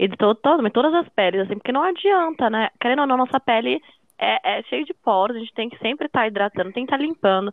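Her pitch swings very widely. The woman talks very fast. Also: fairly high pitch for a woman. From Brazil. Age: 20s. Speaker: law student and makeup influencer. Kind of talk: casual chat.

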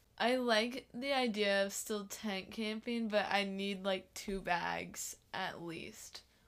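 Very slow speech from a woman at a medium pitch, with fairly even intonation, hardly any pauses and a US Midwestern accent. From Iowa (Wilton). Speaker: college student, ride companion. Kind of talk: casual chat.

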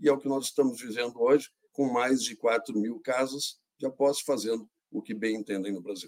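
This is an ordinary speaking voice, delivered with fairly even intonation at a moderate pace. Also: man, medium pitch for a man. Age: 60s. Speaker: industry association president. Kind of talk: panel discussion.

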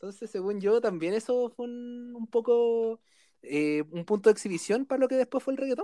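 A man with a Chilean accent and an extremely high pitch talks at a moderate pace in a dark, mellow tone, with ordinary pitch variation, big swings in loudness, and a dry, close sound with no echo. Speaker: podcast host. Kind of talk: casual chat.

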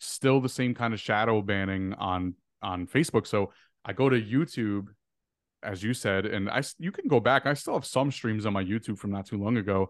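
Over a quiet background, a man with an ordinary speaking voice and a fairly low pitch talks at a moderate pace. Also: ordinary pitch variation. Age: 20s. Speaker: social media creator. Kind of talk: casual chat.

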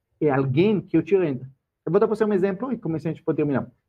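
A man's fairly high-pitched voice with a non-native accent. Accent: foreign accent in Portuguese. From Israel. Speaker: financial educator. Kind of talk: casual chat.

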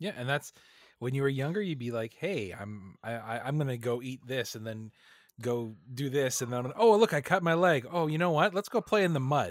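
A man with a Canadian accent speaks at a moderate pace in an unremarkable speaking voice, medium in pitch with lively intonation, on a very clean recording with a silent background. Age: 30s. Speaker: podcast co-host. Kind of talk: casual chat.

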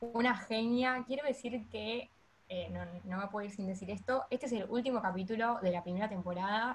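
Somewhat breathy, a woman speaks in a Rioplatense accent at a fairly quick pace with ordinary pitch variation. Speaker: podcast host. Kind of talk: podcast interview.

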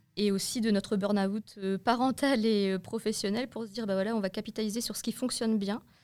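At a moderate pace, a woman with a normal speaking voice keeps her fairly high voice fairly even in intonation. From northern France. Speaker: entrepreneur, young parent. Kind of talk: interview.

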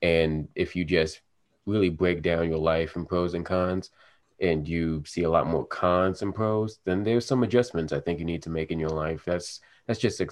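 With a very deep, low pitch, a man talks at a moderate pace and with fairly even intonation over a quiet background. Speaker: podcast host. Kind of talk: casual chat.

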